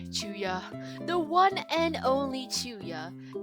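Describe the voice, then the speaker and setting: Music in the background accompanies a woman as she talks. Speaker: digital artist. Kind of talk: casual voiceover for a drawing video. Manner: chatty, talkative.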